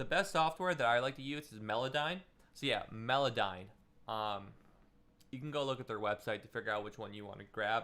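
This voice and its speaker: Lively intonation and big swings in loudness mark this man's bright, sharp tone. He speaks at medium pitch and a fairly quick pace. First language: Russian. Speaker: music producer giving feedback. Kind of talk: live stream feedback session. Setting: live stream with webcam. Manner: casual, filler-heavy.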